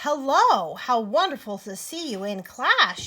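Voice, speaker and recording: At a fairly slow pace, someone delivers lines in a put-on character voice. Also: woman, high pitch for a woman. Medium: read story. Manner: chirpy, sing-song.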